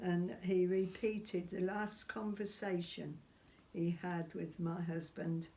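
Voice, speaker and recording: This woman's voice has a dark, mellow tone and is somewhat breathy. Her pitch sits fairly low. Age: 80s+. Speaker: witness of seance phenomena. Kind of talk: interview answer.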